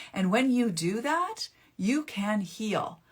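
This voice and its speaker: A woman speaks at a medium pitch with lively intonation and a somewhat breathy quality. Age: 50s. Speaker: naturopathic author and mental health speaker. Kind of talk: live stream talk. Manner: casual with false starts.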